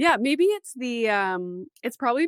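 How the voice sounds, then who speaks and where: This woman has a Canadian accent and her pitch swings very widely. The recording is very clean with a silent background, and the sound is dry and close with no echo. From Canada. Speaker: podcast host. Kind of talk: casual interview.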